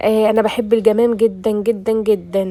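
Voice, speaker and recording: This is a woman with an Egyptian accent. Her pitch is fairly high. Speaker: cooking vlogger. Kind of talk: casual cooking vlog. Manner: casual and chatty.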